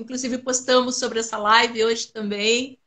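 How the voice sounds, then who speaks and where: The voice is raised and projected. It belongs to a woman and has a bright, sharp tone. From southern Brazil, Rio Grande do Sul (Pelotas). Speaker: Alzheimer awareness collective founder. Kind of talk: interview.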